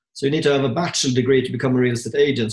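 Somewhat breathy, a man's voice comes through. He speaks at a very fast pace. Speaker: podcast co-host, property investor. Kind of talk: casual interview.

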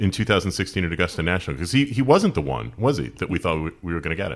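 With an American accent, this voice shows vocal fry and very wide pitch swings on a very clean recording with a silent background. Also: man. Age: 40s. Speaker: podcast host. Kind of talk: casual interview.

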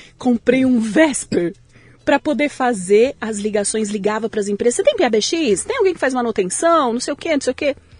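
A woman's high-pitched voice with lively intonation at a moderate pace, dry and close with no echo, over noticeable background noise. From São Paulo city, Brazil. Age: 40s. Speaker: tech company CEO, entrepreneur. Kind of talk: interview conversation.

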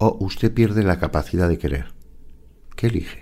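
Vocal fry colors this voice. Its tone is dark and mellow. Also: man. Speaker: forensic psychologist and author. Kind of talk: interview.

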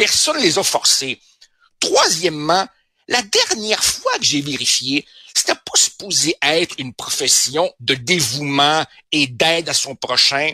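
Speaking at a very slow pace, a man with a fairly high pitch and a bright, sharp tone uses lively intonation in a dry, close sound with no echo. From Uruguay. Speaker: newspaper columnist and sociologist. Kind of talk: radio commentary chat. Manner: animated.

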